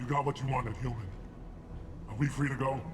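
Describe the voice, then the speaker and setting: Over loud background noise, a man puts on a character voice at a medium pitch. He speaks very fast. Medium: video game. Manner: hard, threatening.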